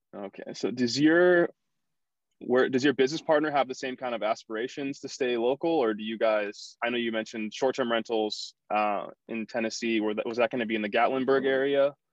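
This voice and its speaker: Against a quiet background, a man uses a normal speaking voice at a fairly quick pace with ordinary pitch variation, the sound dry and close with no echo. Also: medium pitch for a man. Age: young. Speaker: podcast host. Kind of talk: casual interview.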